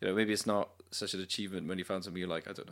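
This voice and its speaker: A man with a Welsh accent is heard on a very clean recording with a silent background. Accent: Welsh (Cardiff) English. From Cardiff, Wales. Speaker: musician, singer-songwriter with a band. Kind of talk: casual interview. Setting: interviewer's flat.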